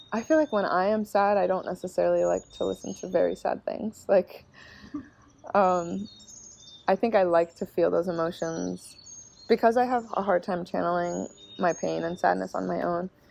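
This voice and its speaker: The background noise is noticeable. Over it, a woman speaks at a moderate pace. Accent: American. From Cincinnati, Ohio. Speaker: singer-songwriter. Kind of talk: interview answer. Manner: soft-spoken, reflective.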